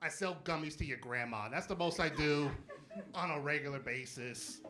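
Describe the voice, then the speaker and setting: Over audible room echo, a man with a fairly high voice and a bright, sharp tone speaks at a moderate pace. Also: ordinary pitch variation. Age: 30s. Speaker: stand-up comedian. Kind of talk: stand-up. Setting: stage with audience. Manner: animated.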